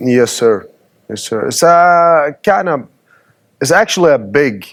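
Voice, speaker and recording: A man with a Middle Eastern accent speaks at a fairly slow pace. His fairly high voice moves in very wide pitch swings. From Sweden, Assyrian family. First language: Assyrian Aramaic. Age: 30s. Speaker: guest. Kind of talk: interview. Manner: halting.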